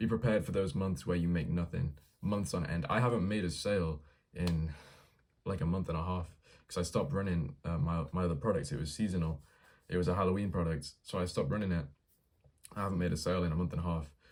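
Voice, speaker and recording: Very fast and very deep, a man speaks with an English accent, his pitch varying in an ordinary way and his loudness very even. Long, frequent pauses break up his speech. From England. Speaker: vlogger documenting a dropshipping business. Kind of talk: casual vlog monologue. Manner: casual, slangy with filler words.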